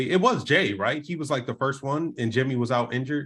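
Man with a normal speaking voice, moderate pace and ordinary pitch variation, quiet background. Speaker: podcast co-host.

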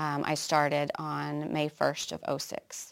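Very clean recording with a silent background: a woman with an American accent, very deep and low in pitch, at a fairly slow pace. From Oklahoma. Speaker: nurse and public health officer. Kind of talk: interview testimony.

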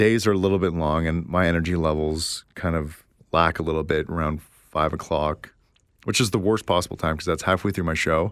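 On a very clean recording with a silent background, a man with a very deep, low pitch speaks at a fairly quick pace and with fairly even intonation. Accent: Canadian. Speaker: podcast co-host and nightclub party host. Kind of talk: casual chat.

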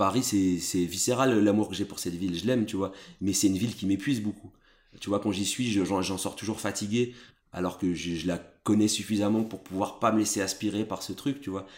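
Speaking at a fairly quick pace, a man uses a normal speaking voice, fairly low in pitch, with fairly even intonation. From Brussels, Belgium. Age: 30s. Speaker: journalist and editor-in-chief. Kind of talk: interview conversation.

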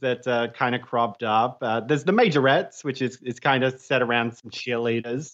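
Against a quiet background, a man with an Australian accent talks at a fairly quick pace. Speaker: podcaster, guest co-host. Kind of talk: casual chat.

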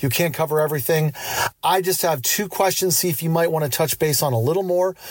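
With an American accent and a plain, everyday voice, a man speaks at a fairly high pitch with ordinary pitch variation. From Central Pennsylvania, US. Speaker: listener voicemail caller.

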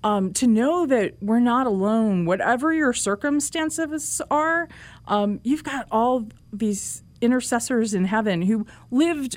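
A woman with an American accent talks at a fairly slow pace in a normal speaking voice, fairly high in pitch. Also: lively intonation. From US Northeast, Manhattan. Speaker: journalist and author. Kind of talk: interview.

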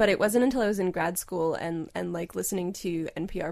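A woman speaks in a normal speaking voice at a medium pitch. She moves at a fairly quick pace with ordinary pitch variation. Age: 30s. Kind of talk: casual chat. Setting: remote call.

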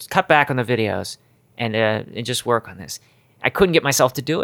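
In an ordinary speaking voice with an American accent, a man talks at a fairly quick pace, the sound dry and close with no echo. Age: 40s. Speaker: YouTuber and musician. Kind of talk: casual chat. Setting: kitchen at home.

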